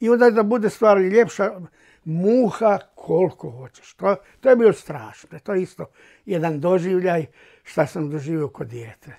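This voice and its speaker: Against a quiet background, a man with a dark, mellow tone speaks at a high pitch and moderate pace, with lively intonation and big swings in loudness. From Croatia, Slavonia; Croatia. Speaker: Holocaust-era witness; witness. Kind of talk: oral history testimony. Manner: halting. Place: home room. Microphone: lapel.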